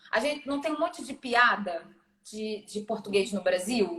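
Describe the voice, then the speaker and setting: A woman speaks at a moderate pace in a high voice with lively intonation. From Brazil. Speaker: digital marketing specialist. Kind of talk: podcast interview.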